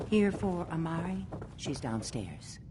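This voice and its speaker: A woman puts on a character voice at a fairly low pitch. She speaks at a fairly slow pace over clear background noise. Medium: video game. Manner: teasing, coquettish.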